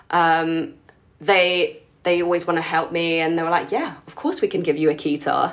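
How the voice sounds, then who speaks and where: A woman with a London accent has a fairly low pitch and fairly even intonation, with big swings in loudness. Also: moderate pace. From London, England (Filipino community). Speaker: keyboard player and musical director. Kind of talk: casual interview.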